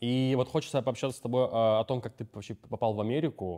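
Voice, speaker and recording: Over a quiet background, a man talks at a very fast pace in a dark, mellow tone with ordinary pitch variation. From Russia, Novorossiysk; Russia. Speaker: podcast host. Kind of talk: casual interview. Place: hall.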